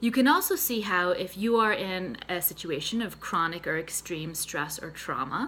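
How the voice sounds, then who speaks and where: A woman with a slight Boston accent speaks at a fairly low pitch, her bright, sharp tone carrying lively intonation. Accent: slight Boston accent on a few words. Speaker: therapist and mental health nutritionist. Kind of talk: health tutorial to camera. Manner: conversational, casual.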